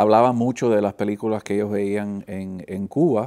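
Fairly slow and dark, mellow in tone, a man's voice carries the clip. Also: quiet background. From Miami, Florida (Flagami); Florida. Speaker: film professor. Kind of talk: interview. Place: studio.

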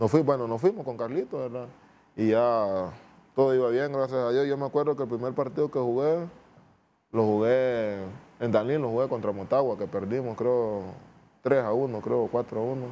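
Light background noise sits under a man with a Honduran accent and a dark, mellow tone. He talks at a medium pitch and moderate pace with ordinary pitch variation. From Honduras, Nueva Armenia; Honduras. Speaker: footballer; guest. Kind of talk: interview. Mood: calm, reflective. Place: studio. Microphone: lapel.

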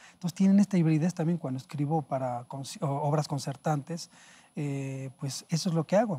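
A fairly high-pitched male voice, dark and mellow, somewhat breathy, at a moderate pace. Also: ordinary pitch variation. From Mexico City (historic centre). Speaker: jazz pianist and composer; guest. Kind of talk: interview. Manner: halting. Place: studio. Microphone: lapel.

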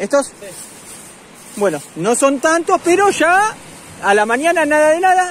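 With lively intonation, a man talks at a moderate pace in a dry sound with no echo and light background noise. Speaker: fishing vlogger. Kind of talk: casual vlog commentary. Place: beach. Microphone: phone near.

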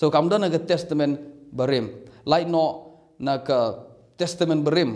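A man with a Meghalaya accent speaks at a very slow pace in a fairly high pitch, his intonation fairly even against a quiet background. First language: Khasi (speaking Malay). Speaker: bible teacher. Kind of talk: bible teaching. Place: home room. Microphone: phone near.

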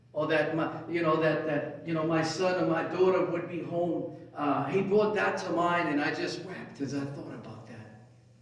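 A man with a fairly high pitch talks at a moderate pace with hardly any pauses. His pitch varies in an ordinary way, and the room echo is audible. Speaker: preacher. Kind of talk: sermon; fervent prayer. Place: church.

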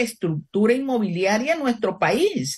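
This woman's voice is fairly high and somewhat breathy. Her pitch swings very widely. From Panama City, Panama. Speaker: economist and presidential candidate. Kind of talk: radio interview. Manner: formal.

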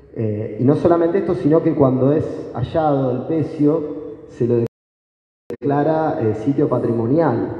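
A man speaks at a fairly slow pace in a plain, everyday voice, his pitch fairly high and its variation ordinary. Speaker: historian and doctoral researcher. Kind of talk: academic talk.

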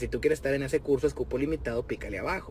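A man with a Mexican accent at a very fast pace, animated in tone, the sound dry with no echo over light background noise. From Mexico. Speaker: rapper. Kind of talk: direct-to-camera video message. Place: car. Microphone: phone near.

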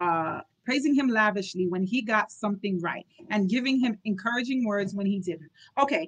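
The passage is read aloud in a natural voice, with little behind it but quiet.

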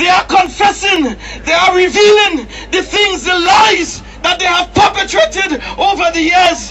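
Over loud background noise, a man with an extremely high pitch talks at a fairly slow pace with ordinary pitch variation. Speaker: protest speaker and campaigner. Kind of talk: impassioned open-air rally speech, hammering short repeated slogans. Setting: outdoors at a street protest addressing crowds. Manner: forceful and declamatory, repeating lines for crowd emphasis; occasionally stumbling and repeating words mid-flow. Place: street.

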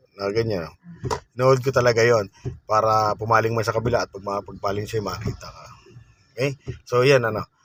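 Speaking at a fairly quick pace, a man has a medium pitch and fairly even intonation. He leaves long, frequent pauses, and his loudness swings widely. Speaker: driving instructor. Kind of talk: tutorial. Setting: in a car.

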